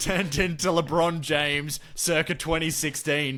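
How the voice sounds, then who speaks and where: A man with an Australian accent and a fairly high pitch. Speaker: sports podcast host. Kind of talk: casual sports chat. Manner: animated.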